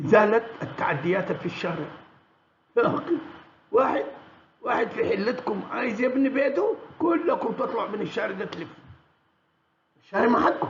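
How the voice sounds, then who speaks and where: A man with a Sudanese accent speaks at an extremely high pitch with very wide pitch swings. His pace is moderate, broken by long, frequent pauses. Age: 70s. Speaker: political commentator. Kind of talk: monologue commentary. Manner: halting, many restarts.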